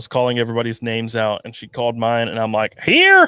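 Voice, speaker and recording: Bright and sharp in tone, a man with an American accent speaks at a medium pitch. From North Carolina, small farm town. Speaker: YouTuber, podcast co-host. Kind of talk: casual chat. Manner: animated.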